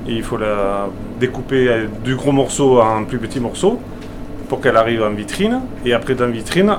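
Speaking at a moderate pace, a man keeps a medium pitch with ordinary variation. Noticeable background noise and audible room echo surround him. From Aveyron, France. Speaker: butcher. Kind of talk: interview.

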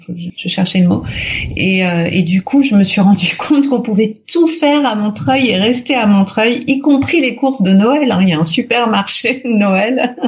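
A woman talks at a fairly slow pace with a fairly high pitch. Noticeable background noise is present. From Paris region, Hauts-de-Seine. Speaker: resident interviewee, actress and mother. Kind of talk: interview.

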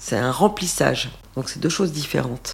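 Lively intonation marks a woman's voice over noticeable background noise. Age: 50s. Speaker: interviewee sharing cosmetic treatment experience. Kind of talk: testimony.

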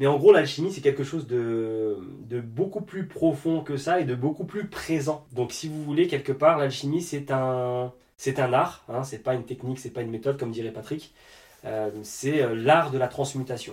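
Speaking in a normal speaking voice, this man has a fairly high pitch and ordinary pitch variation. His pace is moderate. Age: 30s. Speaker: dance school director and energy therapist. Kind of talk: casual interview.

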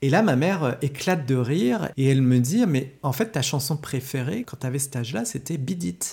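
A man's fairly high, somewhat breathy voice with lively intonation, a moderate pace and hardly any pauses. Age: 40s. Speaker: film studies teacher. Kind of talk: casual chat. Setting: at his home.

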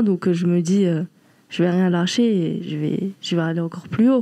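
A woman at medium pitch with a dark, mellow tone, fairly slow pace and fairly even intonation. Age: 20s. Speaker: professional boxer. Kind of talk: casual chat.

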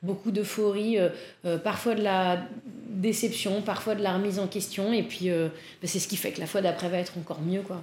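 A woman's medium-pitched voice at a moderate pace, fairly even in intonation, with audible room echo. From Paris, France. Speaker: improv and stage actress. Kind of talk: casual interview chat. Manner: hesitant, frequent laughter.

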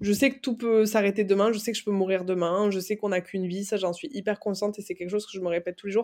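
Speaking at a very fast pace with hardly any pauses, a woman keeps a medium pitch and fairly even intonation. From France, Aveyron. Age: 20s. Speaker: agency founder. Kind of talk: interview. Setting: video call.

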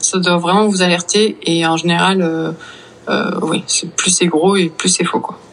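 Monotone, flat intonation at a fairly slow pace, with noticeable background noise. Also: woman, fairly low pitch for a woman. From Brittany, France. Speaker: virologist. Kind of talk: interview.

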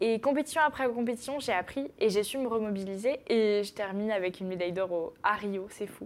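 This is an ordinary speaking voice. It moves at a fairly quick pace with hardly any pauses and ordinary pitch variation. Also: woman, fairly high pitch for a woman. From northern France, Picardy (Noyon). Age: 20s. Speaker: sport shooter, athlete. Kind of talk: interview.

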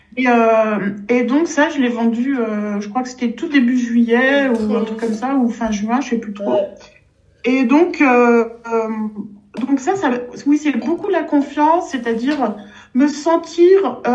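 At a very slow pace, a woman speaks with a high pitch. Her pitch variation is ordinary. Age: 60s. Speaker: pianist and piano teacher. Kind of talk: casual interview chat.

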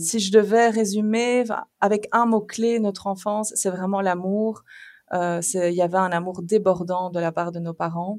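On a very clean recording with a silent background, a woman with an unremarkable speaking voice talks at a fairly slow pace with a medium pitch and fairly even intonation. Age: 30s. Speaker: mother of three, podcast guest. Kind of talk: casual chat.

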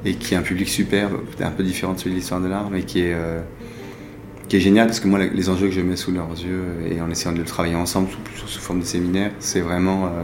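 Amid noticeable background noise and audible room echo, a man with a very deep, low voice talks very fast in a flat monotone. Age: 40s. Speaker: art dealer and collector. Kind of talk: interview. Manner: halting.

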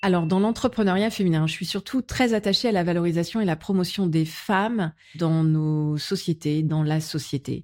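A woman speaks at a fairly low pitch with ordinary pitch variation. Her pace is moderate, with hardly any pauses. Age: 40s. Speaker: business executive. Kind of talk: casual chat. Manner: hesitant, many fillers.

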